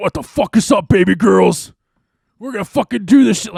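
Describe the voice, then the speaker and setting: Doing a put-on character voice, a man speaks at a moderate pace, his high pitch making very wide swings. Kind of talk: crude, profane. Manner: hardcore, pumped up.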